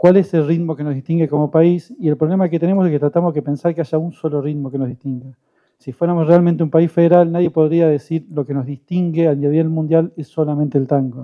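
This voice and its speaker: Very fast speech from a man, fairly high in pitch, with fairly even intonation. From southern Santa Fe, Argentina. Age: 50s. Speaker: panelist on communication. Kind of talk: panel talk.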